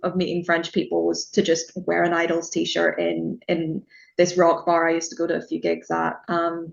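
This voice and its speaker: A woman speaks with a Northern Irish accent. Her pace is moderate. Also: hardly any pauses. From Northern Ireland. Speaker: music journalist. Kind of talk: casual interview chat.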